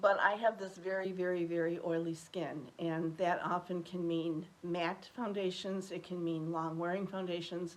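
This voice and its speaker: A woman with fairly low pitch speaks at a moderate pace. Her intonation is monotone and flat, with noticeable background noise behind her. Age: 60s. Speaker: beauty vlogger. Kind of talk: casual chat.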